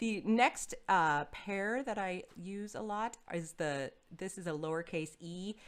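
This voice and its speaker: A woman with an American accent speaks with lively intonation at a medium pitch. Hers is a plain, everyday voice. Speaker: choral singing teacher. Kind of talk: online lecture. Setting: webinar video call.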